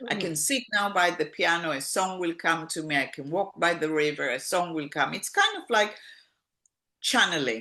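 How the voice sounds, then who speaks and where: A woman speaks at a moderate pace in a fairly low pitch. Hers is an unremarkable speaking voice. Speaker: singer-songwriter. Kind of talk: interview answer.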